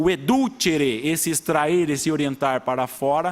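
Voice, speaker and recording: A man speaks at a fairly high pitch. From rural São Paulo state, Brazil. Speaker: judge. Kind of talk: public hearing speech. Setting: city council chamber. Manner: halting, with many repetitions.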